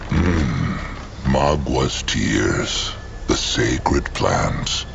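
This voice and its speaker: Against loud background noise, a man puts on a character voice and speaks at a very slow pace. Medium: machinima. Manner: speaks of himself in third person.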